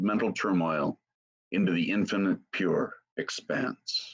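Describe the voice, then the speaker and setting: A man talks at a fairly slow pace against a quiet background. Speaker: session organizer; Buddhist teacher. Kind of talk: reading aloud. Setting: video call. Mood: calm, solemn. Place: home room. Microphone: webcam.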